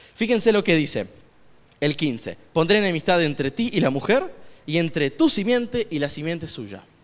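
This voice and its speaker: The man's pitch is high, with very wide pitch swings. He talks at a fairly slow pace. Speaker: lay preacher. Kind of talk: sermon.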